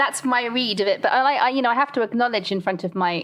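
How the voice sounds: A woman speaks at a fairly quick pace with fairly even intonation.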